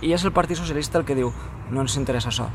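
A man speaks with fairly even intonation, the sound dry with no echo and light background noise behind him. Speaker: interviewee. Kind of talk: interview answer. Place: street.

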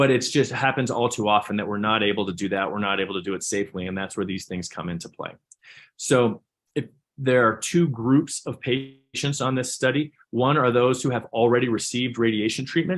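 A man with an American accent at a fairly quick pace, with ordinary pitch variation and a quiet background. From US Southwest, New Mexico (Albuquerque). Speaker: pediatric neurosurgeon and professor. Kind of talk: conference presentation. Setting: video call.

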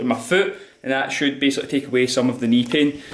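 Speech comes at a very fast pace. Audible room echo surrounds it. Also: man. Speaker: fitness trainer vlogger. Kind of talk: casual vlog chat. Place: home room. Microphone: phone near.

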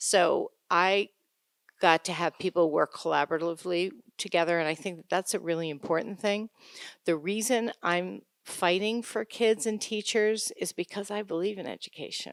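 On a very clean recording with a silent background, dry and close with no echo, a woman with an unremarkable speaking voice talks at medium pitch and a moderate pace. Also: ordinary pitch variation. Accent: American. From upstate New York. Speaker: school board candidate. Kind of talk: candidate forum statement. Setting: town-hall forum with audience.

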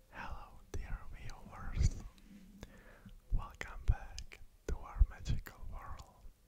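A whisper at a very slow pace, broken by long, frequent pauses. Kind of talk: ASMR whispered storytelling with trigger words. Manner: whispered, soft, slow.

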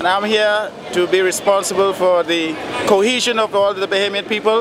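A man talks at a moderate pace, his voice dry with no echo, against loud background noise. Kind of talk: interview answer. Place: street.

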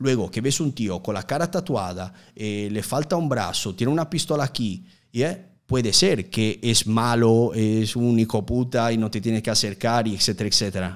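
A man with a strong Italian accent, lively intonation, a moderate pace and a quiet background. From Italy, Udine near Venice; Italy. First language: Italian (speaking Spanish). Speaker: youtuber. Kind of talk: casual interview. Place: studio. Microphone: studio mic.

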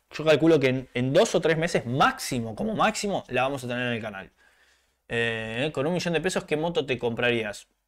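Speaking in an Argentine accent, a man sounds animated, with lively intonation. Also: moderate pace. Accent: Rioplatense Argentine Spanish. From Argentina. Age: 30s. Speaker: motorcycle YouTuber. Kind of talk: live stream chat. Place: home room.

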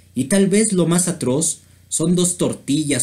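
The speaker is a man. He talks fairly slowly. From Mexico. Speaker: video creator and amateur poet. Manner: measured, rhythmic pacing with pauses between verses. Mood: satirical, playful. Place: home room. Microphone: webcam.

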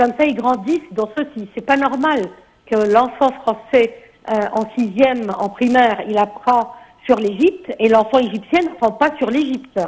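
A woman with a high-pitched voice speaks at a fairly slow pace with ordinary pitch variation. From Egypt. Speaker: tourism expert; guest. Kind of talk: TV interview. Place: studio.

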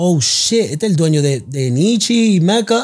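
A man talks with very wide pitch swings. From South Bronx, New York. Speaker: clothing brand founder. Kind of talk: interview.

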